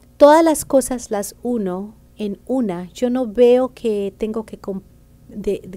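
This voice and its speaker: Her voice has a dark, mellow tone and ordinary pitch variation. The woman speaks at a very slow pace. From Colombia, Bogotá. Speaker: banker and author; interview guest. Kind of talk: interview. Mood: personal, reflective storytelling. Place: studio. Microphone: studio mic.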